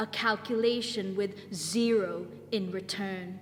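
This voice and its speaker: A woman speaking at a very slow pace over noticeable background noise. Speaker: spoken word poet. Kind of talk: spoken word poetry performance. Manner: rhythmic.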